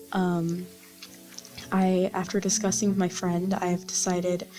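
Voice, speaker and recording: Soft-spoken, at a fairly slow pace and with monotone, flat intonation, the voice sounds over music in the background. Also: woman. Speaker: vtuber gamer. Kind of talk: casual gameplay chat. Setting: home recording at night. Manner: halting.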